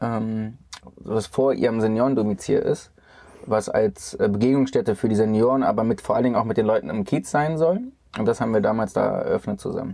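Speaking at a fairly quick pace, a man has a plain, everyday voice of medium pitch with ordinary pitch variation. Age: 30s. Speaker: hotel CEO. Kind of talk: casual interview. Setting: in a camper van.

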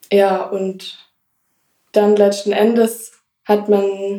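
A woman's medium-pitched voice with a dark, mellow tone, at a very slow pace. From Swabia, Germany (Blaubeuren). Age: 20s. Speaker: ostomy patient, lab technician. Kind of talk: casual interview.

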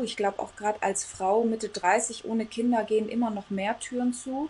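A woman with a normal speaking voice, a fairly high pitch and fairly even intonation. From Congo. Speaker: coach. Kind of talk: casual interview.

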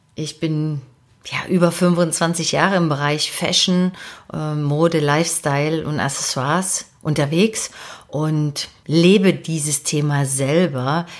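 A woman's very deep, low pitch at a very slow pace. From eastern Germany, Dresden (Saxony). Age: 40s. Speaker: podcast host and personal development coach. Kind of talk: podcast monologue, self-introduction. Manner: animated, enthusiastic.

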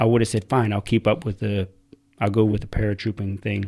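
In an American accent, a man with a dark, mellow tone and fairly low pitch speaks at a fairly quick pace in a monotone, flat delivery. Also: very clean recording, silent background. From United States. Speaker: military veteran. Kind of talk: casual chat.

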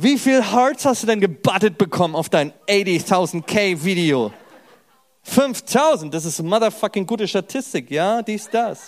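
In an animated tone, a man with a high pitch speaks at a fairly slow pace with lively intonation. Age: 30s. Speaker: stand-up comedian. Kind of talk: casual chat; stand-up. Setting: stage with audience.

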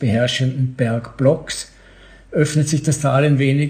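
A man with a medium pitch, a dark, mellow tone, a somewhat breathy quality, and fairly even intonation. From Austria, Vorarlberg (Bregenz). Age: 70s. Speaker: author and newspaper editor. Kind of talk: reading aloud from his novel.

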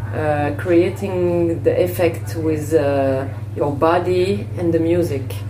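Speaking at a very slow pace, a woman uses a very deep, low pitch with very wide pitch swings. Audible room echo and noticeable background noise fill the recording. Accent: French. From Senegal. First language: French. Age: 30s. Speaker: fitness presenter and choreographer. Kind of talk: interview. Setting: hotel lobby. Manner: halting.

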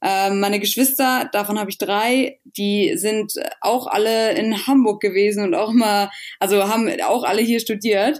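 Speaking at a fairly high pitch, this woman has a normal speaking voice and ordinary pitch variation. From northern Germany, rural Schleswig-Holstein. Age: 20s. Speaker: athlete and fitness influencer. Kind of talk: casual interview.

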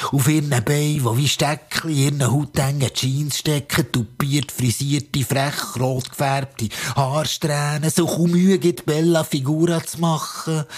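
Over noticeable background noise, a man speaks fairly slowly at a fairly high pitch. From Switzerland, Bern area (Zollikofen). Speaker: spoken word performer. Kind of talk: spoken word performance. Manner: animated.

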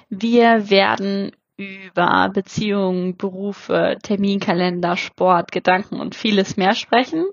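A woman with a medium pitch talks with hardly any pauses. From Germany. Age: 30s. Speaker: podcast host. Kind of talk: solo podcast intro monologue. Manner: animated.

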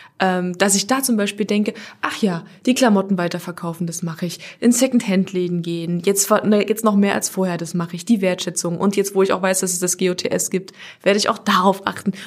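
A woman at a medium pitch with fairly even intonation and a fairly quick pace, over noticeable background noise. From Halle, eastern Germany. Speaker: radio presenter. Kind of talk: casual chat.

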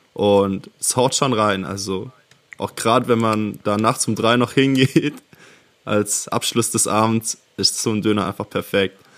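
Using a normal speaking voice, a man speaks at a fairly slow pace with a fairly low pitch and fairly even intonation. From near Ravensburg, Swabia (southern Germany). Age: 20s. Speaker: podcast co-host. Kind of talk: casual chat.

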